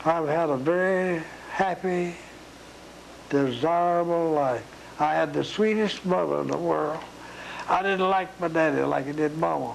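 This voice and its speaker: Amid noticeable background noise, the speaker moves at a fairly slow pace with long, frequent pauses. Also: man. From East Tennessee. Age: 80s+. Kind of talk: interview answer.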